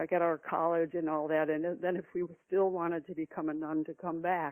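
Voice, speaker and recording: A woman with an American accent talks at a fairly low pitch in a monotone, flat intonation. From US Midwest. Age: 70s. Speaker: novelist and retired psychologist. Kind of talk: interview. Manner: halting, many fillers and restarts.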